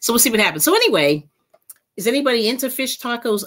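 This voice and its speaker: A woman's voice with vocal fry and very wide pitch swings against a quiet background. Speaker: livestream cooking host. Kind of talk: casual livestream chat. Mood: cheerful, laughing. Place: home room. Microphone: webcam.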